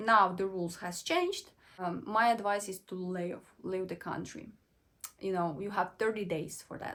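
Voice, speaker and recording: Her voice sits at a medium pitch, and this woman speaks in a Ukrainian accent. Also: fairly even intonation, moderate pace. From western Ukraine. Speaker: vlogger. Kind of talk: personal storytelling vlog. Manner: halting, self-correcting.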